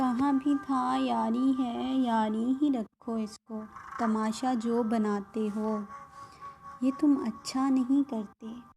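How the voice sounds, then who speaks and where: The intonation stays fairly even throughout. Music plays in the background. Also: woman, fairly high pitch for a woman. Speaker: radio jockey. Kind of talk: poetry reading.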